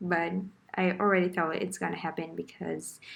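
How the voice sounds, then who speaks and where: With a non-native accent, a woman talks at an even, middling speed. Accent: foreign. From Brazil. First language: Portuguese. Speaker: beginner artist vlogger. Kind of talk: casual tutorial voiceover. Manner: hesitant, with fillers.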